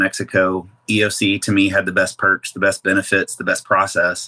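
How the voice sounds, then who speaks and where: A man with a Midwestern American accent talks very fast at a fairly low pitch, his tone bright and sharp. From Kansas City, Missouri, USA. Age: 40s. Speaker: weight loss surgery patient. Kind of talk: interview answer.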